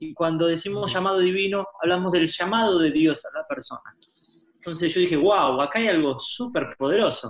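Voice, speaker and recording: A high-pitched male voice in a Rioplatense accent, with ordinary pitch variation. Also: moderate pace. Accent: Rioplatense Spanish (porteño). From Argentina, Buenos Aires. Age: 30s. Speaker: pastor and author. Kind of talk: interview.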